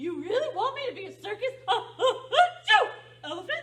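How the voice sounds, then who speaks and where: A cartoonish character voice sits at an extremely high pitch. Its pace is moderate. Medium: puppet. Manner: hesitant, stammering.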